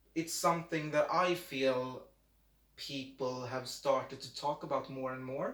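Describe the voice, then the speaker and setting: Fairly high in pitch and speaking at a fairly slow pace, a man with a Swedish accent keeps his intonation fairly even. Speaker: amateur YouTuber. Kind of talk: casual chat. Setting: home, video recording. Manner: halting.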